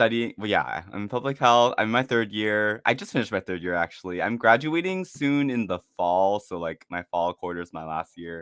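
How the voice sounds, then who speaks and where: At a fairly quick pace, a man with a fairly low pitch speaks with lively intonation. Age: 20s. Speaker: streamer and college student. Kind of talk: casual interview chat. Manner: halting, many fillers.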